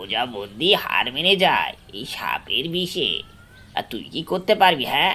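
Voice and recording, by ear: A man's cartoonish character voice, medium in pitch with big pitch swings, bright and sharp in tone, at a fairly slow pace.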